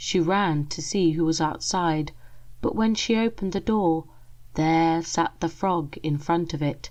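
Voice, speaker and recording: Soft-spoken and at a very slow pace, a woman talks with an English accent and ordinary pitch variation against a quiet background. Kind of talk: ASMR story reading.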